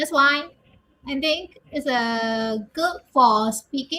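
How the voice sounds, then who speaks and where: A woman speaks very slowly in a high, raised and projected voice with a bright, sharp tone. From Myanmar. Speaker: English learner. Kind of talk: casual chat. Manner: halting, hesitant.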